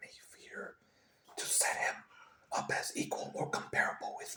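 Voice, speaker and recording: Whispering at a moderate pace, a man is heard against noticeable background noise. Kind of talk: ASMR whisper reading of a classic epic. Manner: whispered.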